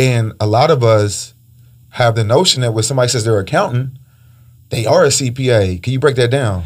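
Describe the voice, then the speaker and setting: Speaking at a fairly quick pace, a man with a medium-pitched, somewhat breathy voice shows ordinary pitch variation. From Panama. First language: Spanish. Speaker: podcast host, real estate investor. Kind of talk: casual interview.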